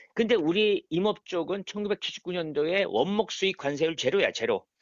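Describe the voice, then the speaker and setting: Relaxed in tone, a man talks at a moderate pace in a high pitch with ordinary pitch variation. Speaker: forestry association president, forest estate owner. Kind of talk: casual phone interview answer. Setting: phone line. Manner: fluent, articulate; relaxed, informal.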